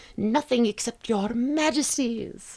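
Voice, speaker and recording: This put-on character voice is squeaky and shrill, with a fairly high pitch. It moves at a fairly slow pace. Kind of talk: courtly, polite.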